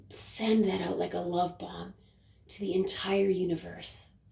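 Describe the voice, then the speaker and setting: The voice has a soothing tone and a fairly slow pace, with noticeable background noise. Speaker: spiritual coach. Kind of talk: guided meditation. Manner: slow, soothing.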